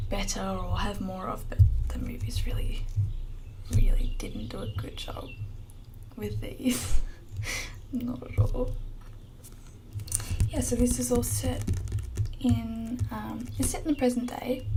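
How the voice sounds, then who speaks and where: The speaker is soft-spoken, going at a fairly slow pace with long, frequent pauses. Noticeable background noise runs underneath. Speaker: bookshop shopkeeper (roleplay). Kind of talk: ASMR bookshop roleplay, soft speaking to camera. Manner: soft-spoken, quiet.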